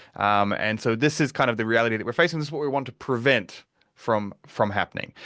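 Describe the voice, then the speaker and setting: A man with a New Zealand accent speaks at a fairly quick pace in a bright, sharp tone, with ordinary pitch variation against a quiet background. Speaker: security researcher and advocate. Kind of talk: webinar presentation. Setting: live online webinar.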